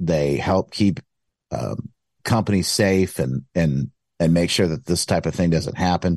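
A man speaks at a moderate pace with an American accent and ordinary pitch variation. The sound is dry and close with no echo, over a quiet background. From US Midwest, Michigan. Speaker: author and radio host. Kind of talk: casual chat. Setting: video call.

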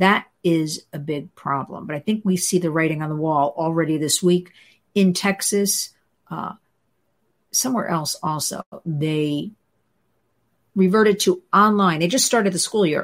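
A woman with a New Jersey accent, fairly low pitch and ordinary pitch variation, at a moderate pace with long, frequent pauses, on a very clean recording with a silent background. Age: 60s. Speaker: host's wife, children's advocate. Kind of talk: casual chat.

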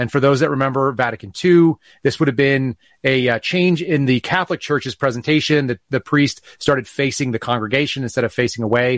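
This is an unremarkable speaking voice at a fairly quick pace with ordinary pitch variation, recorded dry and close with no echo. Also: man, medium pitch for a man. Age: 40s. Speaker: former FBI agent and whistleblower. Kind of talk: interview.

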